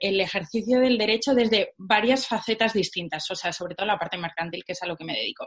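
A woman with a fairly high, somewhat breathy voice speaks at a very fast pace. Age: young. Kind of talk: interview. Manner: animated.

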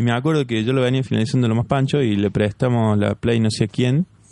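A man talks at a moderate pace. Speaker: podcast co-host. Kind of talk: casual chat.

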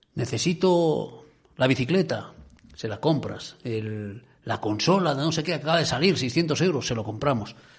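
Fairly high in pitch and somewhat breathy, a man talks at a fairly slow pace with lively intonation. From Asturias (Cudillero). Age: 50s. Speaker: radio host. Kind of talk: radio talk show.

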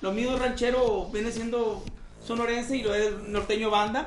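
A man speaks at an extremely high pitch. Room echo is audible and background noise is noticeable. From Sonora, Mexico. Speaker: regional Mexican singer. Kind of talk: casual interview chat.

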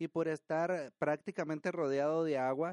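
The background is quiet. A man's voice comes through in a dry, close sound with no echo. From Sinaloa, Mexico. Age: 40s. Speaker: podcast host. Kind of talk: casual storytelling and cooking tutorial. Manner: halting, frequent repetitions.

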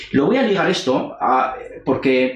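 Noticeable background noise and audible room echo surround a man speaking at medium pitch. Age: 40s. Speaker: university lecturer and interviewer. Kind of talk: interview.

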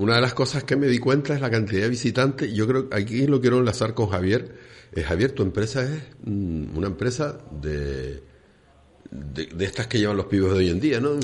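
A man talks at a medium pitch with vocal fry. His pace is moderate. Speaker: radio host. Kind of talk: casual chat. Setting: studio.

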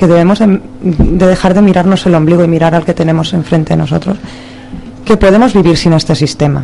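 This woman talks fairly quickly and at a fairly low pitch, with noticeable background noise around her. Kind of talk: poetry reading, intense.

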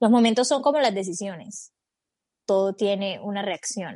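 A woman with a normal speaking voice talks at a moderate pace with lively intonation, in a dry, close sound with no echo over a quiet background. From Colombia. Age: 20s. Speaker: podcast co-host. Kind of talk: casual chat.

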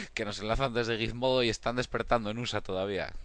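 A man speaks in a normal speaking voice at a fairly quick pace, his intonation fairly even against a quiet background. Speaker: photography community founder. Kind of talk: casual chat.

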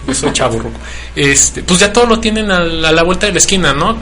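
Recorded with audible room echo and noticeable background noise, a man talks at a moderate pace. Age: 30s. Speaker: radio co-host. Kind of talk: casual chat.

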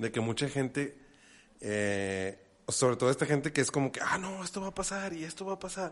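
With a Mexican accent, a man talks at a fairly quick pace and fairly high pitch, his pitch swinging very widely against a quiet background. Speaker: podcast co-host. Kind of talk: casual chat.

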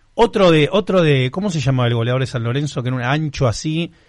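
The voice is somewhat breathy, with lively intonation. It moves at a fairly quick pace. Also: man. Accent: Rioplatense. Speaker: podcast host. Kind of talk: casual interview.

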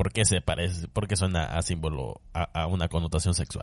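A man's animated, somewhat breathy voice against a quiet background. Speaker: podcast host. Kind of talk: casual solo monologue. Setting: home bedroom.

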